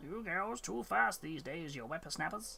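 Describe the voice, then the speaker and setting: Using a put-on character voice, a man speaks at a fairly high pitch. He keeps a moderate pace over clear background noise. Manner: grumpy, gruff.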